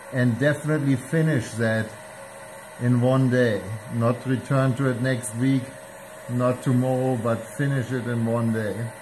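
Fairly slow, monotone, flat speech with long, frequent pauses and noticeable background noise. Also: man. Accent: German. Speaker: aircraft fabric supplier; fabric covering instructor. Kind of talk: tutorial. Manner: casual, impromptu. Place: workshop.

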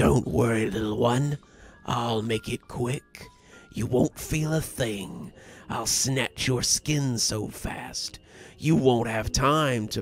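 A man's resonant, put-on character voice at medium pitch and a very slow pace, with faint music in the background. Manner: menacing, soothing-sinister.

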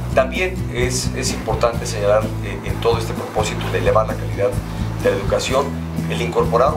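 A man talks at a fairly quick pace over loud music in the background. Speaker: candidate. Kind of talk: interview answer. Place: studio.

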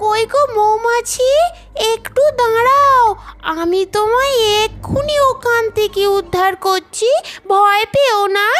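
A cartoonish character voice that sounds female talks at an extremely high pitch and a very slow pace. Background noise is clearly present. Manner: soft, earnest.

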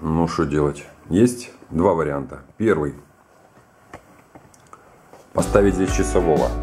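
A man talks at a slow pace. His tone is dark and mellow.

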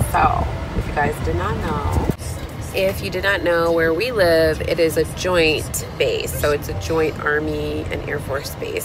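Music plays in the background as a woman speaks at a fairly slow pace, the sound dry with no echo. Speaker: vlogger. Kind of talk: casual vlog chat. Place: car. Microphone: phone near.

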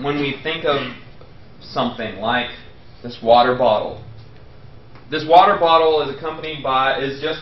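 At a moderate pace, a man speaks with audible room echo. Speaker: professor. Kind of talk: lecture. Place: classroom.

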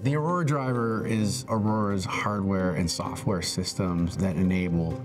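A man speaks with ordinary pitch variation while clear music plays in the background. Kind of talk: interview answer. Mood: friendly, relaxed. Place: garage.

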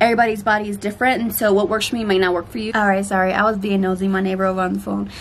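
A woman talks at a very fast clip in a flat monotone, barely pausing, over light background noise. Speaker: vlogger. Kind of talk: casual vlog chat. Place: garden. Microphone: phone near.

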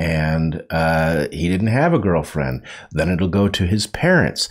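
A man's relaxed tone and lively intonation at a very slow pace, against a quiet background. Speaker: livestream co-host. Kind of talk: casual conversational commentary. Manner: relaxed, conversational, uses fillers and wry humor. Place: studio. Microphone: studio mic.

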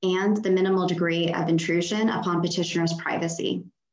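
Audible room echo surrounds a woman speaking at a moderate pace against a quiet background. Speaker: law student. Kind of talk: oral argument. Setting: video call. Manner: formal. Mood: formal, measured. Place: home room. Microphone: video call.

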